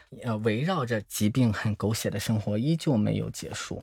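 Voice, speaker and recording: In a very clean recording with a silent background, a man with a plain, everyday voice speaks at a moderate pace, using a medium pitch with ordinary variation. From Shandong, China (Zibo). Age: 30s. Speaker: HIV support project manager. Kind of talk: interview testimony.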